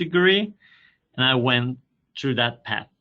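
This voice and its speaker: A man talks with a Spanish accent. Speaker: university sustainability coordinator. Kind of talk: webinar presentation.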